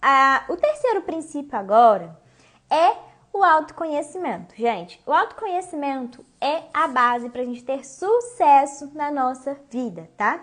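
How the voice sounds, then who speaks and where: This woman speaks high, her pitch swinging very widely. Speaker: online coach / teacher. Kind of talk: live-streamed class to followers. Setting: Instagram live stream. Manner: fast, talks without stopping; casual, conversational.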